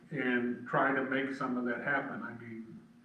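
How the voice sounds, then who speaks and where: Heard at a fairly slow pace, a man with a medium-pitched voice talks over noticeable background noise, with audible echo from the room. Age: 70s. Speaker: council applicant. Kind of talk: public meeting interview. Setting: village council meeting.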